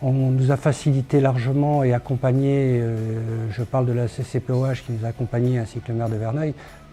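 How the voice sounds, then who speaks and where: Medium-pitched male voice, dark, mellow and somewhat breathy, at a moderate pace with hardly any pauses and monotone, flat intonation. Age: 60s. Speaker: craft brewery founder. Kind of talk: promotional testimony.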